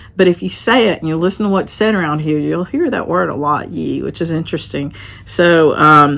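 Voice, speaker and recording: With an American accent and vocal fry, a woman speaks at a moderate pace in a very deep, low pitch, her intonation lively. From western North Carolina mountains. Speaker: craft vlogger and shop owner. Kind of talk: casual vlog talk. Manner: conversational.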